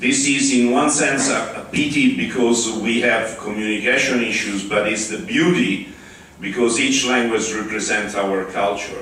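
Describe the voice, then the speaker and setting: In an Italian accent, a man speaks at a moderate pace and medium pitch with ordinary pitch variation, amid noticeable background noise and audible room echo. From Italy. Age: 60s. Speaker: open-source community spokesperson. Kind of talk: conference talk. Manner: halting.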